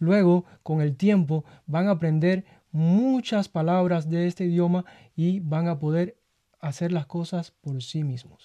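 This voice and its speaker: Against a quiet background, a man with a high pitch and dark, mellow tone speaks at a fairly slow pace with ordinary pitch variation, his voice dry and close with no echo. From Cuba, Havana. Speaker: radio staff member telling his life story. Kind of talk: casual interview. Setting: radio studio.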